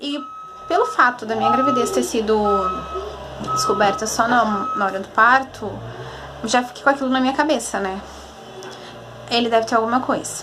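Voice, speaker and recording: A soft-spoken woman with a high pitch, ordinary pitch variation, a moderate pace and long, frequent pauses, amid audible room echo and noticeable background noise. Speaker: vlogger, mother. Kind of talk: casual vlog.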